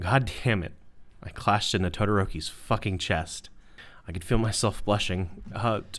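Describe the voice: What we hear is plain reading aloud.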